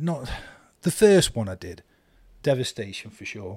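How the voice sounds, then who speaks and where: A man with an East Midlands accent and a dark, mellow tone speaks with lively intonation in a very clean recording with a silent background. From Eastwood, Nottinghamshire, England. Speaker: author. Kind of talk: casual interview chat.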